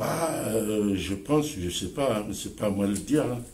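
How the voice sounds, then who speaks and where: A man speaks fairly slowly at medium pitch, sounding somewhat breathy. His pitch varies in an ordinary way. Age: 70s. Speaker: community activist, association president. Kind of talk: interview answer.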